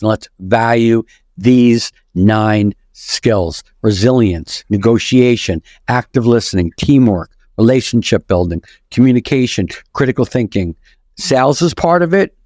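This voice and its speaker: Over a very clean recording with a silent background, a man with a strong New York accent speaks at a fairly slow pace and medium pitch, his intonation lively and his loudness very even. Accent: thick New York. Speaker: author, podcast guest.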